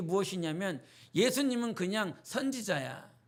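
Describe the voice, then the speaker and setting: A man speaks at a moderate pace in an animated tone with lively intonation. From rural North Jeolla, Korea, then Seoul from age 11. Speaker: pastor. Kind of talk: sermon. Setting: church Wednesday service. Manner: animated, conversational preaching.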